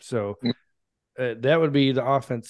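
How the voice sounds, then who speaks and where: The background is quiet as a man talks in a normal speaking voice. His pitch sits in the medium range, with ordinary pitch variation. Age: 30s. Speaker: Air Force veteran and sports podcaster. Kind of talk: casual chat.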